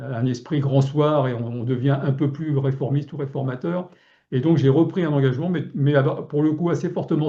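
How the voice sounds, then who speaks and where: Fairly high in pitch, a man speaks at a moderate pace in a dark, mellow, somewhat breathy tone. His intonation is fairly even. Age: 70s. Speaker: local elected official. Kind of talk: webinar talk. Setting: online webinar. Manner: halting, many fillers and repetitions.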